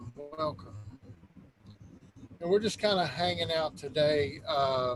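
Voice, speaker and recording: With noticeable background noise behind it, the voice moves at a very slow pace through very wide pitch swings. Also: man. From Kentucky. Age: 40s. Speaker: truck driver and vaping livestream host. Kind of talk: casual chat. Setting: in a truck, live stream.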